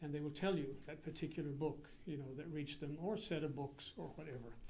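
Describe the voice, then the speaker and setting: A man with a New England accent, fairly high in pitch, fairly quick, with fairly even intonation and audible room echo. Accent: American (Yankee). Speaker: priest and seminary president. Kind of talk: public lecture. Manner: casual, hesitant with fillers.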